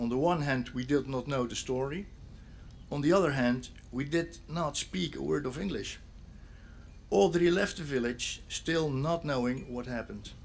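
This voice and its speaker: A man with a Dutch accent speaks at a fairly high pitch. His pace is moderate and his pitch variation ordinary. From Netherlands, Zeeland (Sint Annaland). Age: 60s. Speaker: police officer and local speaker at memorial. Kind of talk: memorial speech.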